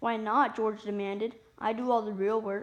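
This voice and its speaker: Doing a put-on character voice, a woman sounds raspy at a fairly high pitch, talking at a moderate pace with monotone, flat intonation. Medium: read story. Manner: sarcastic.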